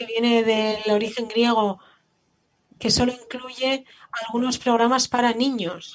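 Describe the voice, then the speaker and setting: The voice belongs to a woman with a fairly high pitch. She speaks at a fairly slow pace. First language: German (speaking Spanish). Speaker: museum educator. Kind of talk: panel discussion.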